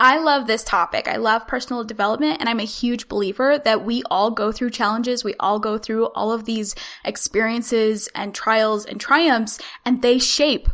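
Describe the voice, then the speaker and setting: A woman's high, bright and sharp voice, energetic in tone, with a Utah accent. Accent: General American (Utah). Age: 20s. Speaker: podcaster and Instagram marketing consultant. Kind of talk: podcast interview. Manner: fast.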